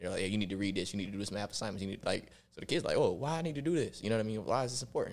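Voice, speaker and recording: With an American accent and lively intonation, a man with a fairly low pitch talks at a very fast pace. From Rochester, New York. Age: 30s. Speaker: college recruitment director and roofing business owner. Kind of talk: casual chat.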